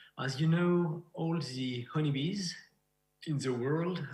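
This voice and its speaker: A man with a French accent speaks in a somewhat breathy voice, with ordinary pitch variation. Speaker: beekeeper and researcher. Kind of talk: lecture. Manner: halting.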